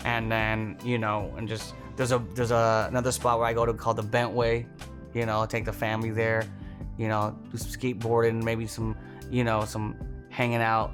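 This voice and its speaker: A man at medium pitch can be heard over music in the background. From Toronto, Canada. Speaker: stand-up comedian. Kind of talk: casual interview answer. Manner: fast, energetic, comedic.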